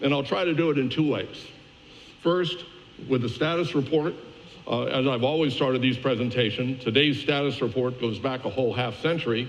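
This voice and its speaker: In audible room echo, a man speaks with very even loudness and ordinary pitch variation. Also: medium pitch for a man, fairly quick pace. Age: 70s. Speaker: media industry analyst. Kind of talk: conference keynote presentation. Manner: casual with many fillers.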